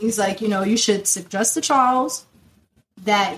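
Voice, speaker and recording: A plain, everyday voice at a moderate pace with ordinary pitch variation. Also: woman. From US, South Florida (born in Nigeria). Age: 20s. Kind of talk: casual interview, personal testimony.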